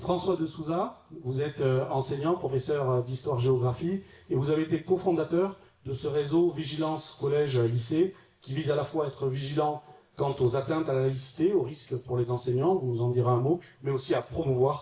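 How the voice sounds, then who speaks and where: This man's voice sits fairly high in pitch, with ordinary pitch variation. He speaks at a moderate pace. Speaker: local politician and debate moderator. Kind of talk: panel moderation introduction. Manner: hesitant, many fillers.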